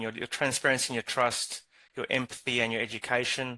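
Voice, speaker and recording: Very fast, monotone, flat speech in a bright, sharp tone with a South African accent, over a quiet background. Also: man. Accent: South African twang. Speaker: regional manager, interviewer. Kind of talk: interview. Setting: live online stream.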